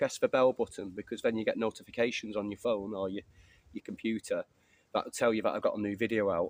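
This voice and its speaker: Someone with an English accent talks at a very fast pace. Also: man. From England. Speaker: bushcraft YouTuber. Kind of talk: casual vlog chat. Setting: outdoors. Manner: fast at times.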